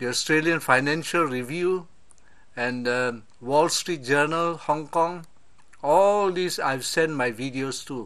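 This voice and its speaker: With a fairly high pitch and ordinary pitch variation, a man speaks at a very slow pace. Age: 70s. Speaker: political commentator. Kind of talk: video monologue. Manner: hesitant, with frequent uh.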